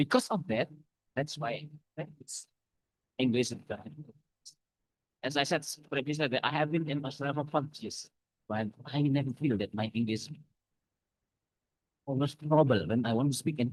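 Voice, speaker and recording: Speaking in an Indonesian accent, a man uses a fairly high pitch with ordinary pitch variation. He leaves long, frequent pauses. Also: moderate pace. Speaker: academic speaker. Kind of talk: lecture. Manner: halting.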